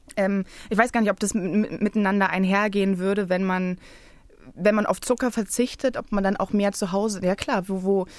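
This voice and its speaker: A woman with a normal speaking voice, medium pitch, fairly even intonation and a moderate pace, against a quiet background. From Berlin, Germany. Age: 20s. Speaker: playwright. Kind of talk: casual chat. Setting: radio studio.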